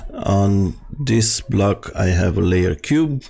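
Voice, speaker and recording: This man talks in a fairly low voice. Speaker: game development tutor. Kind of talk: tutorial. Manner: halting, many filler sounds.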